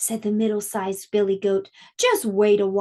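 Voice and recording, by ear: A natural voice, reading aloud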